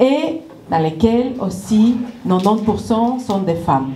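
The speaker has a Spanish accent and ordinary pitch variation. Audible room echo and light background noise accompany the voice. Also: woman. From Ecuador. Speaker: nonprofit director. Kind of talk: welcome speech. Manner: halting. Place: stage. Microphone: handheld.

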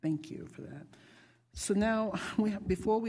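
A woman's voice comes across dark and mellow, with fairly even intonation. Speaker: school board chair. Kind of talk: chairing a public board meeting. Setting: auditorium with public audience. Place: meeting room. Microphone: podium.

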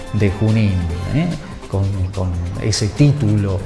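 A man speaking at a fairly slow pace, with clear music in the background and audible room echo. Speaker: TV news presenter. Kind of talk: TV news presentation. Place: studio. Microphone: lapel.

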